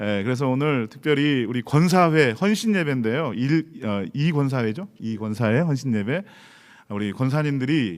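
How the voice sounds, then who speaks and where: Moving at a moderate pace, a man's medium-pitched voice shows very wide pitch swings. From Chungcheong, Korea (Daejeon). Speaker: pastor. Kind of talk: sermon. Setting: church.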